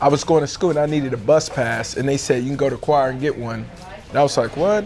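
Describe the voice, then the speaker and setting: A man with an American accent speaks over music in the background. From Texas, Fort Worth. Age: 30s. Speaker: homeless choir singer. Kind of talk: interview testimony.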